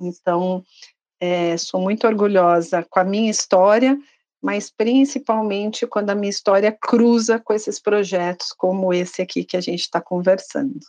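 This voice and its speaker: A woman speaks at medium pitch in a plain, everyday voice. The sound is dry and close, with no echo. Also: ordinary pitch variation, moderate pace. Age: 50s. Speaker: pharmaceutical sales training manager. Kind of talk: corporate podcast interview.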